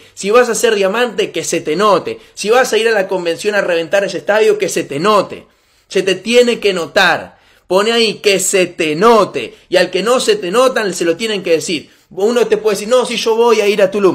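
In a Rioplatense accent, a man speaks with an animated tone at a high pitch and a moderate pace. His pitch variation is ordinary, and the very clean recording has a silent background. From Argentina. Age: 20s. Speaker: network marketing motivational speaker. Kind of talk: motivational talk.

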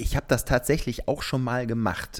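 This man's tone is animated. His recording is very clean, with a silent background. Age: 30s. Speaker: TV reporter and hobby runner. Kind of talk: casual chat. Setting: at home on his couch. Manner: animated, laughs often.

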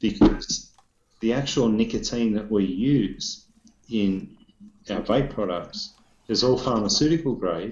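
At a very slow pace, a man with an Australian accent speaks in a fairly low voice with ordinary pitch variation. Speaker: vaping industry professional. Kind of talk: casual chat about vaping news. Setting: video call, shaky internet. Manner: loud, swears a lot.

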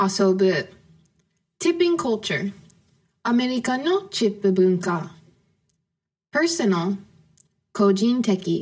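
Here a woman speaks at a very slow pace, leaving long, frequent pauses, at a medium pitch. Her voice is somewhat breathy, with lively intonation and very even loudness. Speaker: podcast host teaching English to Japanese learners. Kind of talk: casual conversation. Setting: video call.

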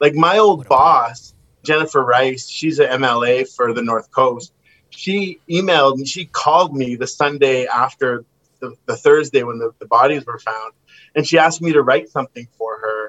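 Music plays in the background as a man with a Western Canadian accent and a fairly high pitch speaks at a moderate pace, with ordinary pitch variation and big swings in loudness. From Kamloops, British Columbia, Canada. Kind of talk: casual chat.

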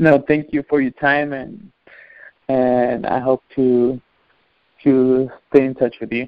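With a Spanish accent and a medium pitch, a man speaks at a very slow pace with fairly even intonation and long, frequent pauses. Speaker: soccer coach. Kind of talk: interview. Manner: halting.

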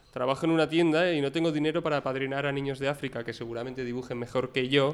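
A man delivers his words very fast at a medium pitch, with fairly even intonation. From Bilbao, Basque Country. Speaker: journalism student. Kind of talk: casual chat.

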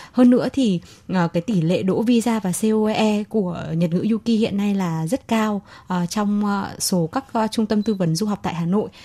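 A woman's somewhat breathy voice has a dark, mellow tone, medium pitch and ordinary pitch variation. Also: fairly slow pace. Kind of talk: radio interview. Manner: formal, halting.

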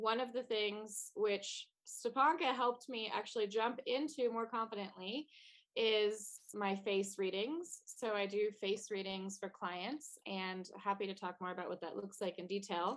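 A woman's unremarkable speaking voice at medium pitch, with ordinary pitch variation and hardly any pauses. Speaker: artist and entrepreneur. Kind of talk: podcast interview. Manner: laughs often.

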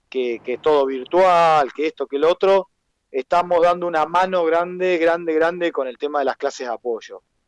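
At a fairly slow pace, a man speaks in a high pitch, his sound dry and close with no echo. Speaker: carnival troupe founder. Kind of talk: interview.

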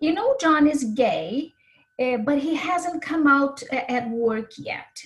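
Speaking at a fairly slow pace, a woman with a Brazilian accent shows ordinary pitch variation.

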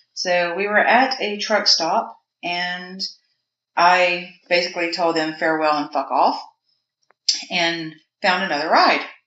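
Speaking at a fairly slow pace with long, frequent pauses, a woman with a fairly low pitch and a Southern US accent shows ordinary pitch variation. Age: 40s. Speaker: mortician. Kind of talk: casual interview. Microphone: poor sound quality.

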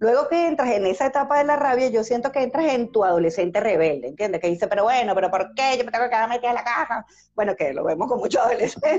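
Speaking at a very fast pace with hardly any pauses, a woman keeps her loudness very even while her fairly high voice moves with lively intonation. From Venezuela. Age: 50s. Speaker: grief process specialist. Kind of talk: interview.

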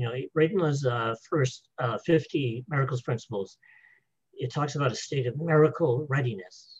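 This man's pitch sits fairly high, and his voice is somewhat breathy. He speaks at a moderate pace with ordinary pitch variation. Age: 70s. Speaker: spiritual author. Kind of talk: interview.

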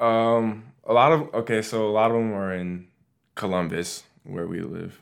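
On a very clean recording with a silent background, a man uses a normal speaking voice, keeping a medium pitch, a moderate pace and ordinary pitch variation. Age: 20s. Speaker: college student and gamer. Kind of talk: casual interview.

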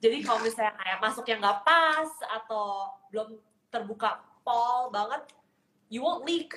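This woman's voice sits fairly high in pitch, with a bright, sharp tone. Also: ordinary pitch variation, moderate pace. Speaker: podcast host. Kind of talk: casual chat. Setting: video call.

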